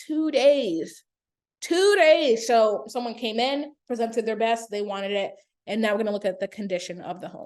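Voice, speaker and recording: Over a quiet background, a woman speaks with a fairly high pitch and lively intonation. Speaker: real estate agent. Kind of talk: tutorial. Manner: casual with fillers; fast.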